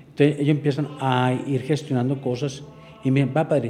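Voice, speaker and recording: A man's fairly high pitch and monotone, flat intonation at a fairly quick pace, over noticeable background noise. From Antioquia, Colombia (Andes). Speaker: parish priest. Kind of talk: interview.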